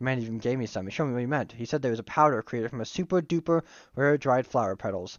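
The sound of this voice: With ordinary pitch variation, an unforced reading voice carries the clip.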